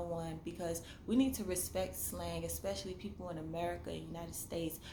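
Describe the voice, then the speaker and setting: A woman's fairly quick speech with audible room echo. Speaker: vlogger and novelist. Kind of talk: casual monologue vlog. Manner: animated.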